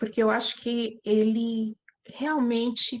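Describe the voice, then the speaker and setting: A woman with a non-native accent speaks in a fairly high pitch. Her pace is very slow. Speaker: spiritist study group speaker. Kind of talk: lecture. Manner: halting.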